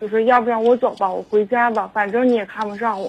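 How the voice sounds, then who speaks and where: Using a normal speaking voice, a woman talks fairly quickly with a fairly high pitch and fairly even intonation. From Harbin, northeast China. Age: 20s. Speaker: caller. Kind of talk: phone-in advice call. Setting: phone call. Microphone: too quiet, far from phone.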